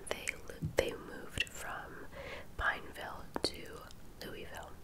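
A soft-spoken woman talks at a very slow pace. Loud background noise sits behind her. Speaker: true crime storyteller. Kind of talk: casual vlog narration. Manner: soft close-mic ASMR murmur. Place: home room. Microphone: studio mic.

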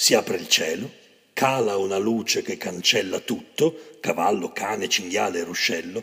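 Lively intonation marks a man's plain, everyday voice as he speaks at a fairly slow pace. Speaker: poetry reader. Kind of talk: poetry reading.

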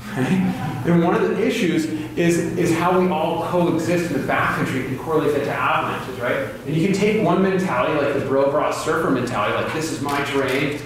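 Strong room echo and noticeable background noise surround a man talking at a fairly quick pace with hardly any pauses. His pitch is fairly high, with ordinary variation. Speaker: avalanche course instructor. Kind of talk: lecture. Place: hall. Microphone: camera far.

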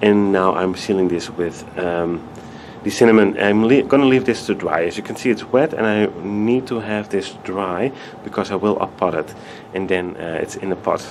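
Fairly low male voice at a moderate pace, ordinary pitch variation, and light background noise. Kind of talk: tutorial. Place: home room. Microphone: camera far.

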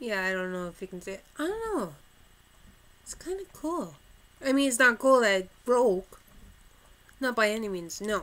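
A woman talks at a moderate pace and fairly high pitch, with an animated tone. Her pitch swings very widely, her loudness shifts a lot, and she leaves long, frequent pauses. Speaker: vlogger. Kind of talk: casual chat. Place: home room. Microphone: webcam.

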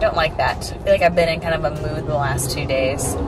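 Audible room echo and clear background noise surround speech at a fairly quick pace with ordinary pitch variation. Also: woman, low pitch for a woman.

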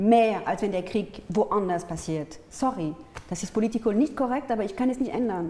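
Delivered at a moderate pace, the speech has lively intonation and comes with a French accent. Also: woman. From France, Paris. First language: French (speaking German). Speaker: artist and peace activist; interview guest. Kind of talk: interview. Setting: studio. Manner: halting, with many fillers. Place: studio. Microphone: lapel.

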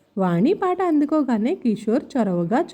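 A text is read out plainly.

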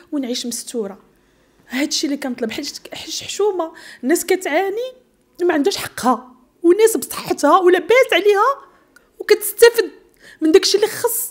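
Speaking at a moderate pace, a woman makes very wide pitch swings. Her loudness also swings a lot. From Morocco. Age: 40s. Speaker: bombing survivor; interviewee. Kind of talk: testimony. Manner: halting. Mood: emotional, pleading. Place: studio. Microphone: handheld.

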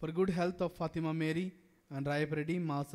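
The background is quiet. A man speaks with fairly even intonation. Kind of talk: sermon in a Mass. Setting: church during Mass. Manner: earnest, impassioned preaching. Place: church. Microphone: podium.

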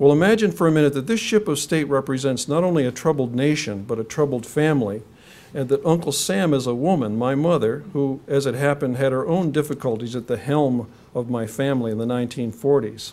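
The tone is dark and mellow, the pace fairly quick. Pitch varies in an ordinary way. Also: man. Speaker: lecturer. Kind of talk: lecture. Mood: reflective personal memoir. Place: hall.

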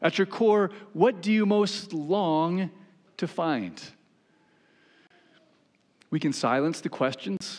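A man at a slow pace, with big pitch swings

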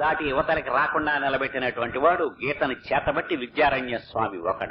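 A man speaks over noticeable background noise. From Andhra Pradesh, India. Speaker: radio broadcaster and religious discourse speaker. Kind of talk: religious discourse.

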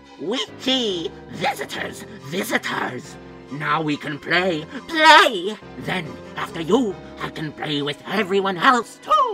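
Over clear music in the background comes a put-on character voice at middle pitch. The pace is fairly slow. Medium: machinima. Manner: manic, sing-song, gleeful.

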